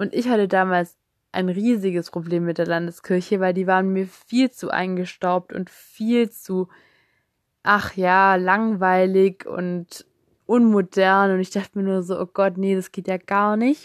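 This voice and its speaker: A woman talks at a fairly slow pace in a monotone, flat intonation. The sound is dry and close with no echo, over a quiet background. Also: medium pitch for a woman. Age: 20s. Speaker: podcast host. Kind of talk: personal testimony monologue. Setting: recording alone at home on couch. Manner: casual, with frequent fillers.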